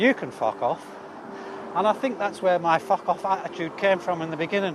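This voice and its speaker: Speaking fairly quickly with a high pitch, a man is heard over noticeable background noise. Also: ordinary pitch variation. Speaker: cycling livestreamer. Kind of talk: casual chat. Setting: outdoors on a bike.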